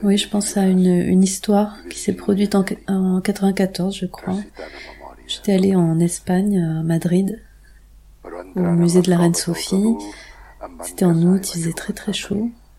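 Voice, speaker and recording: Speaking at a fairly slow pace with long, frequent pauses, the voice has a dark, mellow tone, a somewhat breathy quality and monotone, flat intonation. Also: woman, medium pitch for a woman. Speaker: sound artist and composer. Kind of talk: interview. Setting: radio interview. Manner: halting, many repetitions.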